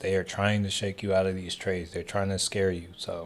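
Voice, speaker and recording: Speaking with an American accent, a man talks at a moderate pace in a monotone, flat intonation. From Texas. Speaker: stock trading streamer. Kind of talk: live stream commentary. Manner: casual, filler-heavy.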